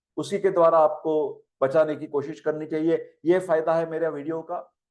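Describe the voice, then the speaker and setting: A man is speaking. He has a Marathi accent. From Maharashtra, India. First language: Marathi (speaking Hindi). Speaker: Ayurveda professor. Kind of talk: lecture. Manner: conversational, Hindi-English mixed.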